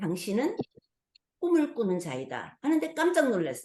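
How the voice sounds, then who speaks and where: A woman with a dark, mellow tone speaks at a fairly high pitch. Her pitch swings very widely. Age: 70s. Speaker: pastor. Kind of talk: testimony.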